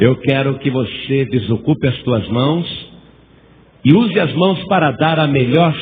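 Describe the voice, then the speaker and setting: Fairly slow speech from a man, fairly high in pitch, its ordinary pitch variation wrapped in audible room echo. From Brazil, São Paulo. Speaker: pastor. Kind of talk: sermon. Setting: church. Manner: animated.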